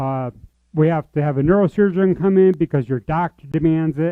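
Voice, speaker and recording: With a normal speaking voice, a man talks at a moderate pace and a fairly high pitch. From US, military family, born in Georgia. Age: 40s. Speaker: church member sharing life story. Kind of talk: testimony.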